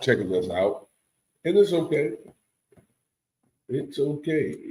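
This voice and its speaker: Speaking at a fairly slow pace, a man with a fairly high pitch and vocal fry swings very widely up and down. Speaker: podcast host. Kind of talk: casual chat.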